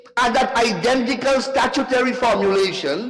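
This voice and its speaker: An extremely high-pitched man's voice, animated in tone, at a moderate pace with ordinary pitch variation, amid noticeable background noise and audible room echo. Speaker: member of parliament. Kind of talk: parliamentary debate speech. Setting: parliament chamber.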